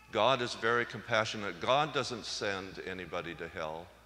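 A man's bright, sharp tone with vocal fry and lively intonation at a fairly slow pace. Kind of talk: homily at Mass, conversational and teaching. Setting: church. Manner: conversational, plainspoken; gently humorous, reflective.

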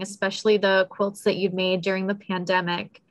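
A woman's bright, sharp tone comes through over a quiet background. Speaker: museum public programs manager and event moderator; event moderator. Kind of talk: event moderation. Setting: video call. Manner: friendly, upbeat. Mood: polite, warm. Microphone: video call.

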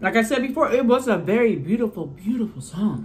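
A woman talks at a fairly quick pace with lively intonation. Her voice carries vocal fry. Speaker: mukbang youtuber; mukbang vlogger. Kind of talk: casual chat. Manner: rambling. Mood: annoyed about copyright strike. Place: home room. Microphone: phone near.

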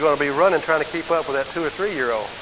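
A man at a fairly high pitch with ordinary pitch variation and a fairly quick pace, against noticeable background noise. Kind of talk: sermon. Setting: church. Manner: earnest, warm, exhortative preaching with direct appeals to the congregation.

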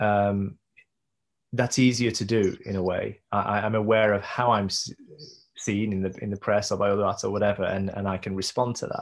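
A man's fairly low voice with a British accent, monotone and flat in intonation, over a quiet background. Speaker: visual artist and performance maker; interviewee. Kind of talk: interview conversation. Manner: hesitant, many fillers and repeats. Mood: reflective, thoughtful. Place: home room. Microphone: video call.

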